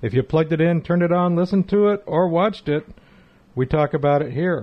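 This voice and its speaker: Fairly quick delivery from a man, a normal speaking voice pitched fairly high, its pitch varying in an ordinary way. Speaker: co-host. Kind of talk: casual chat. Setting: studio.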